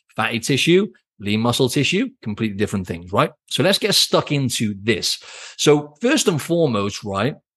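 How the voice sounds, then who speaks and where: Against a quiet background, a man with a British accent speaks at a moderate pace in a medium pitch, his tone energetic and animated and his intonation lively. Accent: British accent, drops T sounds. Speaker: fitness coach, podcast host. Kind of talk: solo podcast monologue. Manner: energetic, animated.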